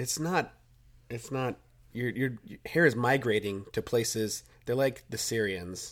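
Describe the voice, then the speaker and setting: Recorded very cleanly against a silent background, a man of medium pitch speaks at a fairly slow pace with ordinary pitch variation and long, frequent pauses. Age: 30s. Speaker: podcast co-host. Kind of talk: casual chat. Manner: animated.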